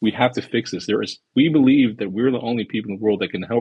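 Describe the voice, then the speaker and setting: This man has an unremarkable speaking voice, pitched fairly low, at a fairly quick pace. The sound is dry and close with no echo. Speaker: tech company founder. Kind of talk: casual chat. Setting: online audio space.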